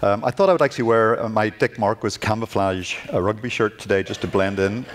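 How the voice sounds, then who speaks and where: Over noticeable background noise, a man speaks at a fairly quick pace. His pitch is fairly low, and he talks with a Northern Irish accent. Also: fairly even intonation. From Northern Ireland. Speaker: glass artist and art professor. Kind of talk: lecture. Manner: halting.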